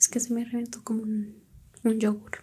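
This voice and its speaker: Soft-spoken, a woman talks at a fairly slow pace in a dark, mellow tone over light background noise. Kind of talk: ASMR role-play chat. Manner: soft close-mic ASMR voice. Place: home room. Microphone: studio mic.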